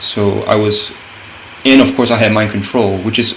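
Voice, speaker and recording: There is noticeable background noise and audible room echo. A man speaks at a fairly low pitch with fairly even intonation. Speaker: gaming content creator. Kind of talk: gameplay commentary. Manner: halting, many fillers and restarts.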